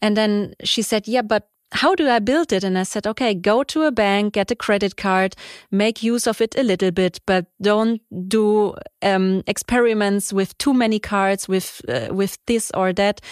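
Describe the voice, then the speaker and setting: A woman has an unremarkable speaking voice, with a medium pitch, ordinary pitch variation and a moderate pace. The recording is very clean with a silent background, dry and close with no echo. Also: very even loudness. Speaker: podcast host and award jury member. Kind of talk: interview. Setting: studio.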